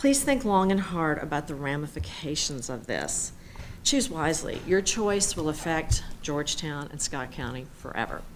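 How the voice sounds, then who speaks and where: Amid audible room echo, a woman with a very deep, low pitch speaks at a moderate pace with lively intonation. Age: 60s. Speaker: public commenter at city council. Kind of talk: public comment speech. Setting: city council meeting.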